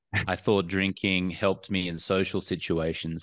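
A man with an Australian accent and a very deep, low pitch, at a moderate pace against a quiet background. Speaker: entrepreneur and alcohol-free coach. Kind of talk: podcast interview.

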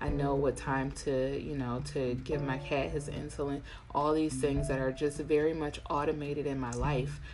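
Over noticeable background noise and audible room echo, a woman speaks at a moderate pace in a very deep, low voice with flat, monotone intonation. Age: 40s. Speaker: podcast host and tattoo artist. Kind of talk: casual monologue.

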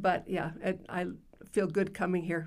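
There is vocal fry in this voice with an Upper Midwest accent. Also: woman. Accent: Upper Midwest American. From South Dakota (Yankton). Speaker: retired school principal. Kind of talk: interview.

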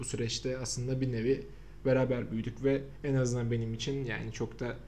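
The man's voice is somewhat breathy, with a dark, mellow tone, medium pitch and flat, monotone intonation, moving at a fairly quick pace amid audible room echo. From Samsun, Turkey. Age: 20s. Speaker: podcast host, digital marketer. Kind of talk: casual chat.

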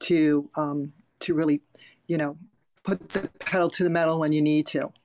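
In a very clean recording with a silent background and a dry, close sound with no echo, a woman with an American accent and an unremarkable speaking voice speaks at a fairly slow pace and a fairly low pitch. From Long Island, New York. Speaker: functional nutrition coach and public speaker. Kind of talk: casual chat.

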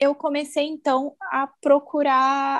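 A woman's high-pitched voice, dry and close with no echo, in a very clean recording with a silent background. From Brazil, Campo Grande (Mato Grosso do Sul). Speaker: journalist and mom content creator. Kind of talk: casual interview.

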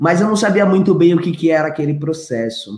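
A man with an ordinary speaking voice talks at a moderate pace, his pitch varying in an ordinary way. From São Paulo, Brazil (Grajaú). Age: 30s. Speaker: tech education entrepreneur. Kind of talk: interview.

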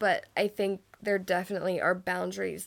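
A woman talks at a fairly slow pace in a very clean recording with a silent background. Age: 20s. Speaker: podcast co-host. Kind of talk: casual chat.

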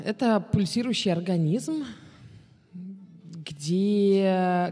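On a very clean recording with a silent background, a woman speaks in a dark, mellow tone, somewhat breathy, with ordinary pitch variation. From Moscow, Russia, then Israel from 14. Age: 30s. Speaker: tour guide. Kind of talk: casual interview.

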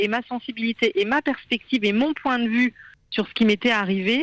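A woman with an unremarkable speaking voice talks at a fairly high pitch with ordinary pitch variation, in a dry, close sound with no echo. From France (born in India, adopted as baby). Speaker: journalist and author. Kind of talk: radio interview.

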